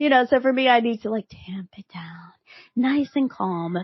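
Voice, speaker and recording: Energetic and somewhat breathy, a woman speaks. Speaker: podcast host. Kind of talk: solo podcast talk. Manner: fast.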